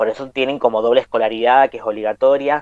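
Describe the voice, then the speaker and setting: A man with a Cuyo Argentine accent, medium in pitch, in a dry, close sound with no echo. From Argentina, Mendoza. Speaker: podcast host. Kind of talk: casual chat.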